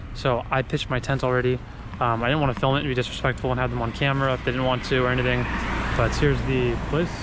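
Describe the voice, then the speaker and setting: A man speaks very fast at very even loudness. Audible room echo and noticeable background noise surround him. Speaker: travel vlogger. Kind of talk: vlog narration.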